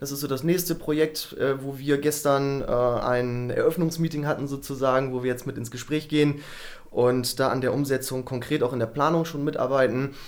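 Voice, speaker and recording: A man with a fairly high pitch, monotone, flat intonation and a moderate pace, over noticeable background noise. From Germany, Bremen. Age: 30s. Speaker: climate adaptation entrepreneur. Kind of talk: interview.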